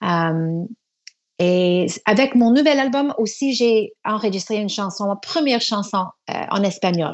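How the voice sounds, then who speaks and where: In an English Canadian accent, a woman at a medium pitch talks at a very slow pace with lively intonation. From Canada, Toronto. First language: English (speaking French). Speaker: singer. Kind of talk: radio interview. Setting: remote line from Quebec City. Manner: halting, many hesitations.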